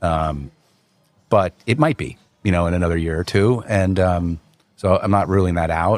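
Dry and close with no echo, the clip features a man with a New Jersey accent whose very deep, low pitch shows ordinary variation. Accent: New Jersey American. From US Northeast, North Jersey (Wayne, Passaic County). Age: 40s. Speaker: restaurant group founder. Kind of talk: casual chat.

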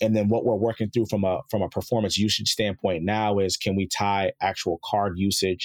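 A man with an American accent, an ordinary speaking voice, fairly low in pitch, at a moderate pace, in a dry, close sound with no echo and a very clean recording with a silent background. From Chicago and South Jersey. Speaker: former football player, startup co-founder. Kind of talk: interview.

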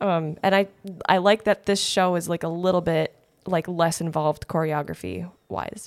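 A woman's fairly low voice in a monotone, flat delivery at a moderate pace, dry and close with no echo. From Wisconsin (Janesville, Kenosha). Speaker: community theater actress. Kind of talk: casual chat.

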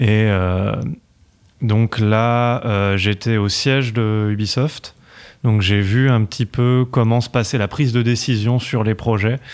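Very slow and at a medium pitch, a man speaks with fairly even intonation and very even loudness in a very clean recording with a silent background. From France, Paris. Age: 30s. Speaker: video game developer. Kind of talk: podcast interview.

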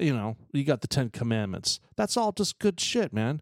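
A man with an American accent talks at a moderate pace at medium pitch in a plain, everyday voice, recorded very cleanly against a silent background with a dry, close sound and no echo. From Texas, El Paso. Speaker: podcast host. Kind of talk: casual chat.

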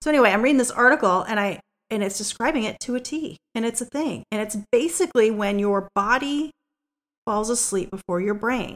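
A woman talks in a normal speaking voice with fairly high pitch at a fairly quick pace. The sound is dry and close with no echo. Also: ordinary pitch variation. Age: 40s. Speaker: podcast co-host. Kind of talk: casual chat.

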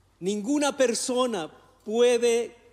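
A man speaks with an Ecuadorian accent. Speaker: pastor. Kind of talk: sermon.

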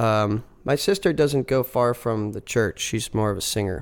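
A man in a plain, everyday voice speaks with an American accent, medium pitch, ordinary pitch variation and a moderate pace on a very clean recording with a silent background. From Philadelphia area, US. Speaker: folk rock musician. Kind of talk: casual interview chat. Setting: studio.

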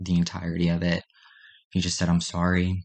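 Against a quiet background, a man with an American accent talks in a very deep, low pitch with monotone, flat intonation. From Maryland, US. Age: young. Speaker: nursing student and abuse survivor. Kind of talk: testimony. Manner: halting.

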